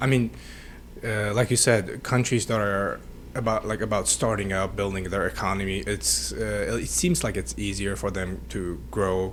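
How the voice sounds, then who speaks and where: A man speaks with a Central Asian accent. His pitch swings very widely. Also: fairly low pitch for a man, moderate pace. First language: Tajik. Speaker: podcast host. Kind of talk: casual interview chat.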